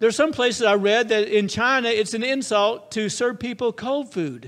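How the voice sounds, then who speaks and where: Recorded very cleanly against a silent background, a man talks loudly at a moderate pace, his high pitch moving with ordinary variation. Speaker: pastor. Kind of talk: sermon.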